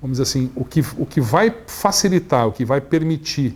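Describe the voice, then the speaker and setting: The voice sounds somewhat breathy. Its intonation is lively. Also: man. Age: 60s. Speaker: energy industry executive. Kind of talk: interview. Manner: halting, many fillers.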